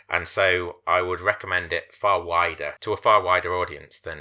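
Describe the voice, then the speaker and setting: A man speaks with hardly any pauses and big swings in loudness. The recording is very clean, with a silent background. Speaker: podcast host. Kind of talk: casual chat. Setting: podcast recording. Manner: serious, gravelly delivery when pitching.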